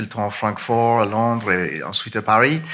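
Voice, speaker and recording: A man with an Irish accent speaks at medium pitch with fairly even intonation. Noticeable noise sits in the background. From Ireland. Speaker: fund manager. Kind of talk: conference panel talk. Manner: halting.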